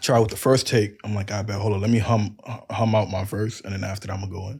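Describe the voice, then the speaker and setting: Very fast and somewhat breathy, a man speaks at a fairly low pitch. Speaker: rapper. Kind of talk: casual chat. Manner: animated.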